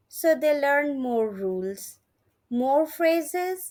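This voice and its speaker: A woman's very slow speech with lively intonation. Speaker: English teacher, online language tutor. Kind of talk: casual talk to camera, lesson introduction.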